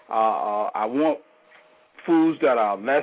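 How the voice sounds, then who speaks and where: American accent, ordinary pitch variation, male speaker. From United States. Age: 60s. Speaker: caller. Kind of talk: call-in question. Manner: halting.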